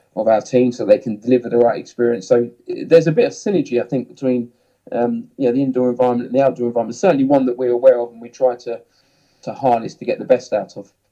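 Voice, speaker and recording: With a southern English accent, a man speaks at a very fast pace and medium pitch, his dark, mellow tone carrying fairly even intonation and big swings in loudness. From southern England, Hemel Hempstead. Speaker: ski instructor and snowsports manager. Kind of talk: podcast interview. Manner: hesitant, many fillers and repeats.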